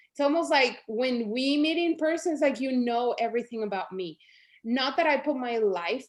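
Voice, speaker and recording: A woman with a Spanish accent, high-pitched and animated, with lively intonation at a moderate pace. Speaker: network marketing leader. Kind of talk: motivational pep talk.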